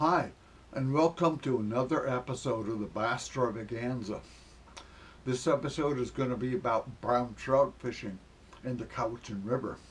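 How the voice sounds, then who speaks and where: At a moderate pace, a man speaks in a medium-pitched, somewhat breathy voice with ordinary pitch variation. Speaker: fishing video creator. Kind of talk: video narration. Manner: impaired speech after a stroke; casual, halting with fillers.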